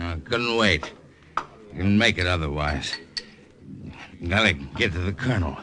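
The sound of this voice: A man uses a put-on character voice with a low pitch. His tone is bright and sharp, and his intonation is lively. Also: fairly slow pace.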